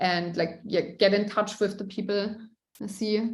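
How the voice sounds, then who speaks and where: Audible room echo colors a woman's medium-pitched voice. She speaks at a moderate pace with fairly even intonation. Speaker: tech sales account executive. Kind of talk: Q&A interview. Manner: loud at times, laughing; hesitant with many fillers.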